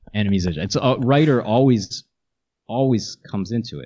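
A man with an American accent and a plain, everyday voice speaks with lively intonation. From New Jersey. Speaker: musician. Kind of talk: casual interview.

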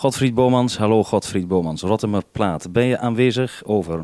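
A man speaks with a fairly low pitch and a dark, mellow tone. His pace is moderate, with ordinary pitch variation.

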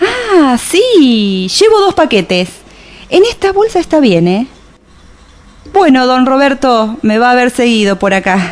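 Slow and full of big pitch swings, a woman puts on a character voice pitched high.

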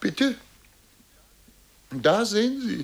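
Very slow, high-pitched put-on character voice from a man, with big pitch swings

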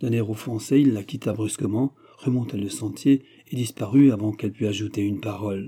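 The text is read aloud in a natural voice, and the pitch varies in an ordinary way.

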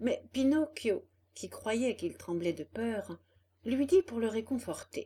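Lively intonation over plain reading aloud

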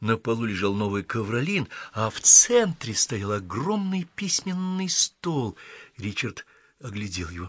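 A natural reading voice is heard in this clip.

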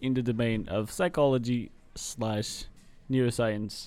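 Over music in the background, a man talks at a fairly slow pace in a medium pitch with fairly even intonation. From Portuguese Atlantic islands. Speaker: university student. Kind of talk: casual chat. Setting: coffee shop. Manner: halting.

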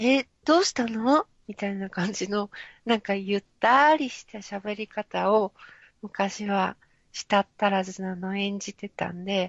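A woman speaks in a plain, everyday voice at a medium pitch and a fairly slow pace. Her loudness swings widely while her pitch variation stays ordinary. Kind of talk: casual chat.

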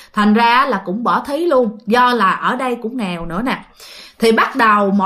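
The pitch of this unforced reading voice rises and falls in an ordinary way.

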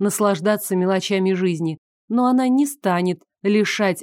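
Against a quiet background, a speaker is reading aloud in a natural voice, the pitch varying in an ordinary way.

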